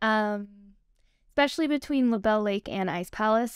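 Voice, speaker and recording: A woman at a moderate pace with ordinary pitch variation, against a quiet background. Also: dry sound with no echo. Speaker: guest. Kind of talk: interview answer. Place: studio.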